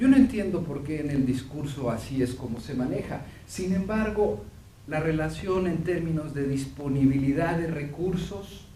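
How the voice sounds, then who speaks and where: Amid noticeable background noise and audible room echo, a man talks fairly slowly with ordinary pitch variation. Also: fairly high pitch for a man. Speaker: professor and veterinarian. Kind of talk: lecture. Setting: seminar with audience. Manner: halting, many fillers.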